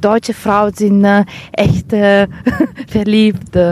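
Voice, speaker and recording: A woman with an Italian accent speaks in a dry, close sound with no echo. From northern Italy, Vicenza. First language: Italian (speaking German). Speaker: art historian and seamstress. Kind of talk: casual interview. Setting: outdoors. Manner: halting, many hesitations.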